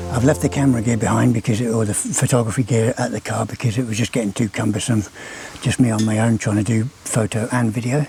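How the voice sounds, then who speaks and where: Over noticeable background noise, a man at a medium pitch talks at a very fast pace with fairly even intonation. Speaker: wildlife vlogger. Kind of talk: nature vlog commentary. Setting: outdoors at night. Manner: casual, hesitant with fillers.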